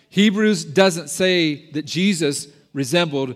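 Speaking fairly slowly in a normal speaking voice, a man has a fairly high pitch and ordinary pitch variation. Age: 50s. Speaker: pastor. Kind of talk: sermon. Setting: church.

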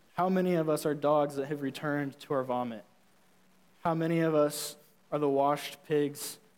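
A man speaks at a moderate pace in a fairly high pitch. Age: 20s. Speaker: youth pastor. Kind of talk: sermon. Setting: church.

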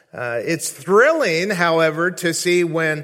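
A man with a high pitch talks at a very slow pace over noticeable background noise. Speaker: visiting preacher. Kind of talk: sermon. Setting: church.

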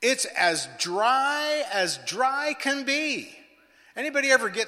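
Over noticeable background noise, a man speaks very slowly in a raised, projected voice, with an extremely high pitch and lively intonation. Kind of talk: sermon. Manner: animated, rhythmic preacher's delivery that builds through repetition; exhorting, call-and-response with congregation.

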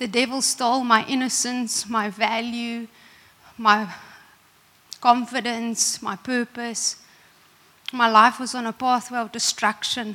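Monotone, flat delivery at a fairly slow pace, broken by long, frequent pauses, over noticeable background noise. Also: woman, fairly high pitch for a woman. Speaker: preacher. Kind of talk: sermon. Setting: church.

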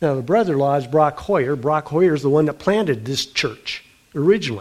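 A man's ordinary speaking voice, fairly high in pitch, with ordinary pitch variation and a fairly quick pace. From US Midwest (South Dakota). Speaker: pastor. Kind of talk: sermon. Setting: church.

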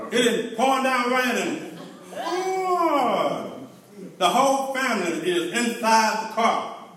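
With noticeable background noise and audible room echo, a man speaks very slowly at an extremely high pitch with very wide pitch swings. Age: 50s. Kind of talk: stand-up. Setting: church with audience. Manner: animated.

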